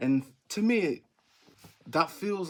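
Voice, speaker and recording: With an English accent, a man speaks using lively intonation. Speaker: miniatures maker and YouTuber. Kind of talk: casual vlog commentary. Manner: may drag S sounds; halting, many fillers and restarts.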